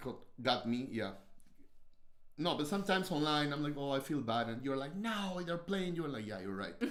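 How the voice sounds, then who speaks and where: A man with a strong Peruvian accent and very wide pitch swings, amid audible room echo. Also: fairly high pitch for a man, moderate pace. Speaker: host's husband, podcast co-host. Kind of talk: casual chat. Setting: livestream.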